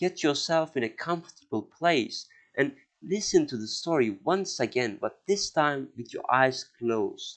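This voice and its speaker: A man with a non-native accent speaks at a fairly slow pace in a fairly high pitch. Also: lively intonation. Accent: non-native English, mispronunciations. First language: not English; outside Indo-European group. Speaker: history podcaster. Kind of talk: podcast monologue. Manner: hesitant, many filler words.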